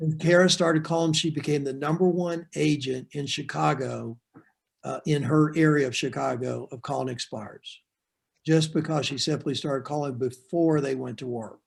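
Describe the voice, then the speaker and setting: An unremarkable speaking voice from a man with an American accent, fairly high in pitch, at a moderate pace with fairly even intonation. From Florida. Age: 60s. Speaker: real estate sales coach. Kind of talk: training webinar.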